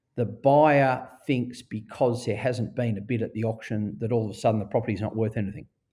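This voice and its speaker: Over a quiet background, a man with an Australian accent talks at a moderate pace and medium pitch, his dark, mellow tone showing ordinary pitch variation. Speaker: auctioneer and real estate director. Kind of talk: podcast interview answer.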